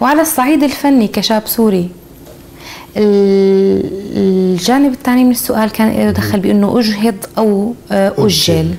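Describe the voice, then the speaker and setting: Speaking very slowly, a woman uses a medium pitch. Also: ordinary pitch variation, very even loudness. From Syria. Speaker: sculptor and visual artist; interviewee. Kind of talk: interview. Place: workshop. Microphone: lapel.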